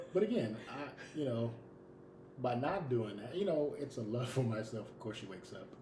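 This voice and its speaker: Over noticeable background noise and audible room echo, a man at a medium pitch talks at a moderate pace in an animated tone with lively intonation. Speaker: podcast co-host. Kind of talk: casual chat. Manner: loud.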